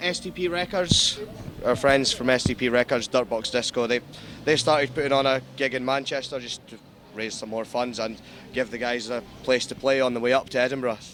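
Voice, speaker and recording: A man with a Scottish accent talks at a fairly quick pace and medium pitch, with ordinary pitch variation. Background noise is noticeable. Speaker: charity gig organizer. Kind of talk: casual interview.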